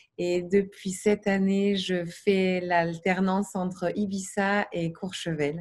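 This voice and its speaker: A woman with a medium pitch speaks at a very slow pace in a monotone, flat way and sounds somewhat breathy. The recording is very clean with a silent background. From Paris region, France. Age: 30s. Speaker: massage therapist, coaching client. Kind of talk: testimony. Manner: halting, many fillers.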